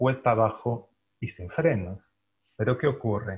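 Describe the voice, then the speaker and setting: A man talks with a somewhat breathy voice and ordinary pitch variation. The background is quiet. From Galicia, Spain. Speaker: translator and journalist. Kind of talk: panel discussion. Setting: video call. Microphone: earbuds.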